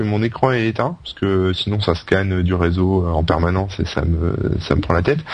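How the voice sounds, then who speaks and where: Over noticeable background noise, a man talks with a fairly low pitch and ordinary pitch variation. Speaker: podcast co-host. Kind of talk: casual chat.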